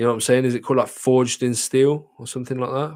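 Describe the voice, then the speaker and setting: Here is a man with a British accent at medium pitch. The recording is very clean, with a silent background. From Britain. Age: 20s. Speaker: streamer. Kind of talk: casual chat. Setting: livestream.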